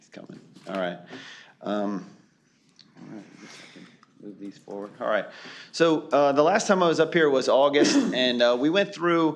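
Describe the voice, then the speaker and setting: A man speaks at a moderate pace, with long, frequent pauses. His pitch swings very widely and his loudness in big swings. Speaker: consultant presenting to county board. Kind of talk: public meeting presentation. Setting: county board meeting room. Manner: halting, many fillers.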